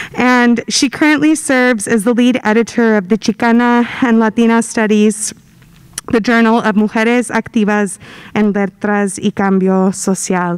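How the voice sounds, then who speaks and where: In a plain, everyday voice, a woman speaks at a fairly high pitch and a moderate pace, with fairly even intonation and very even loudness, over a quiet background. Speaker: university diversity director; event host introducing speaker. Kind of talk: event introduction. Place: hall. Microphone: podium.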